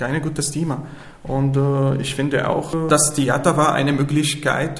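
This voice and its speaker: A man with a fairly high-pitched voice is heard with audible room echo and noticeable background noise. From Syria. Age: 20s. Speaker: refugee, amateur theater participant. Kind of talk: interview. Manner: halting.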